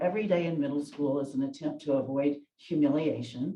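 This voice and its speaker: A woman with a Southern US accent, a very deep, low pitch, a dark, mellow tone and lively intonation. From US South, Memphis, Tennessee. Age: 70s. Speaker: retired lawyer. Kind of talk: oral history interview.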